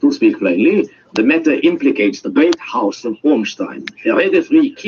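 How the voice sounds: The voice reads in a natural way.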